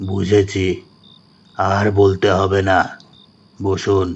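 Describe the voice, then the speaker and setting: Putting on a character voice, a man speaks at a fairly low pitch with monotone, flat intonation. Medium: read story. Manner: curt, secretive.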